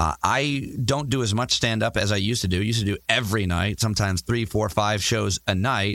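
A man's plain, everyday voice, fairly low in pitch, at a fairly quick pace with hardly any pauses, very even loudness, ordinary pitch variation and a dry, close sound with no echo. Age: 30s. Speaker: stand-up comedian. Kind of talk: interview.

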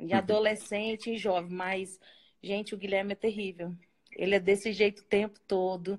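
At a moderate pace, a woman speaks at medium pitch in a monotone, flat delivery. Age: 40s. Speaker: ministry co-worker. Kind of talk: casual chat.

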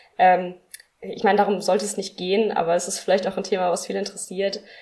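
A woman speaks in a medium pitch with vocal fry. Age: 20s. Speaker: deacon. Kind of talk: interview.

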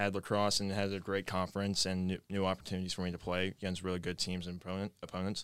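On a very clean recording with a silent background, a man with an American accent talks at a very fast pace in a fairly low pitch, his intonation monotone and flat. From Maryland, near Washington DC. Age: young. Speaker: college lacrosse player and ROTC cadet. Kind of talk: casual interview.

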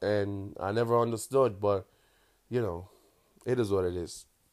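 Heard in a very clean recording with a silent background, a man with a strong Jamaican accent speaks at a fairly low pitch with fairly even intonation. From Kingston, Jamaica. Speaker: meme creator and podcast host. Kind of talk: casual solo monologue. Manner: casual, profane, laughs often; toned-down patois, speaking carefully.

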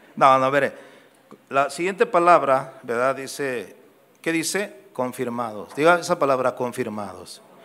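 A man with a normal speaking voice, fairly high-pitched and fairly slow, his intonation lively. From Guadalajara, Mexico. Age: 60s. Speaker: pastor. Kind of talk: sermon. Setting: church.

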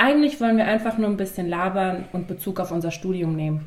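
The pace is moderate and the pitch varies in an ordinary way. It is a plain, everyday voice. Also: woman. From western Germany, Mainz. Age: 20s. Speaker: student teacher and podcast host. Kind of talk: scripted podcast intro.

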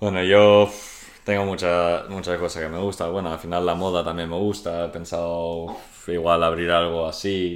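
There is audible room echo around a man whose very deep, low voice stays monotone and flat. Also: moderate pace. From international upbringing, Swedish. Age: 20s. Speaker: professional football goalkeeper. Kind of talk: interview.

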